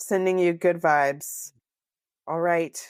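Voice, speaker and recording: A woman with an American accent speaks at a fairly slow pace in an ordinary speaking voice with ordinary pitch variation, in a dry, close sound with no echo on a very clean recording with a silent background. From Southern California. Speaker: podcast co-host. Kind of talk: casual chat.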